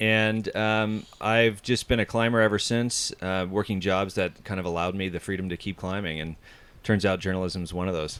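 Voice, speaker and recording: A man with a plain, everyday voice speaks at a moderate pace. His pitch is fairly low and his intonation fairly even. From US Pacific Northwest, Seattle. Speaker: outdoors journalist and climber. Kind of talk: interview. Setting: studio in an Airstream trailer.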